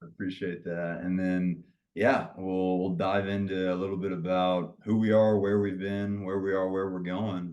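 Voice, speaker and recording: A flat, monotone delivery in a Southern US accent. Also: man, very deep, low pitch for a man. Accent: Southern drawl. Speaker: pickleball league founder and CEO. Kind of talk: podcast interview. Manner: long-winded.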